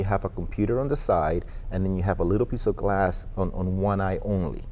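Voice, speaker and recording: His pitch varies in a normal way. The man keeps a moderate pace. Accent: Spanish. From Colombia. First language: Spanish. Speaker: online marketing executive. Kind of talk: TV interview.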